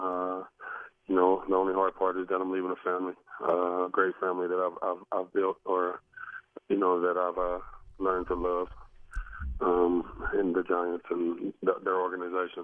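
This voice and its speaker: Very deep and low, a man talks in a monotone, flat intonation at a moderate pace with long, frequent pauses. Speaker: professional football running back. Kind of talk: interview answer.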